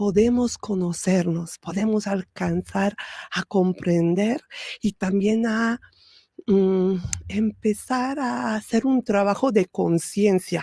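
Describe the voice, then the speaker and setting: Very slowly and a little breathily, a woman speaks at a medium pitch in a dark, mellow tone with ordinary pitch variation. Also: dry, close sound with no echo. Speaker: spiritual podcast host. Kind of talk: spiritual talk. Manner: soft-spoken; hesitant fillers.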